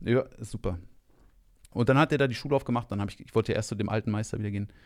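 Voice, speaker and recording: A man with vocal fry talks at a very fast pace, his fairly low pitch showing ordinary variation, on a very clean recording with a silent background. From Rhineland, Germany (Monheim). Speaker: kung fu teacher. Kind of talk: casual chat.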